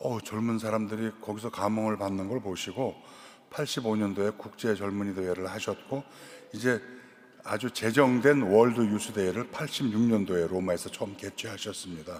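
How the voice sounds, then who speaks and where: An ordinary speaking voice moves at a moderate pace. The intonation stays fairly even. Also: man, fairly low pitch for a man. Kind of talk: lecture. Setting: cathedral lecture event.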